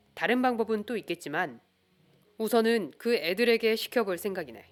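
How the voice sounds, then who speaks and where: A woman with a plain, everyday voice, fairly high pitch, ordinary pitch variation, and a moderate pace, in a very clean recording with a silent background. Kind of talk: audiobook reading of a detective novel. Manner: calm, soothing.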